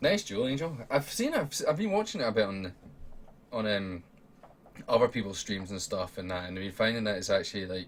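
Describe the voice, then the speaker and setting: A man with an Edinburgh accent talks at a fairly quick pace. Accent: Scottish (Edinburgh). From Scotland, Edinburgh. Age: 20s. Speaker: gaming streamer and podcast host. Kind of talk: casual livestream chat. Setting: home room while streaming.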